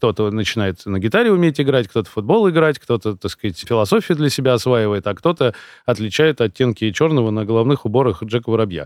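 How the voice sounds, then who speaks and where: A man talks at a very fast pace with lively intonation, recorded with a dry, close sound with no echo against a quiet background. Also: medium pitch for a man. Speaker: coach and consultant, founder of a personal development program. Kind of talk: casual chat. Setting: studio. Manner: articulate, fluent storyteller.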